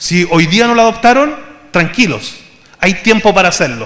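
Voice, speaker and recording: Recorded with audible room echo and noticeable background noise, a man speaks in a Chilean accent with ordinary pitch variation. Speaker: conference speaker. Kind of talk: conference talk.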